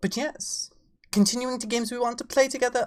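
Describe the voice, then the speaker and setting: Pitched high, a woman's voice moves along at a fairly quick pace. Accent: English. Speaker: VTuber streamer. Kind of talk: casual live-stream chat. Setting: live stream.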